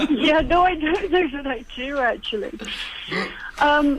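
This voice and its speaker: A woman talks in a high voice while noticeable background noise fills the recording. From UK. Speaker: therapist. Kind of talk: radio interview.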